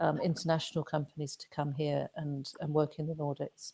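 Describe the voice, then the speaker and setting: A woman's very deep, low voice with a dark, mellow tone, monotone and flat at a moderate pace, dry and close with no echo. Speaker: fintech startup founder. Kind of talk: webinar talk. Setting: online webinar. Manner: many fillers and hesitations.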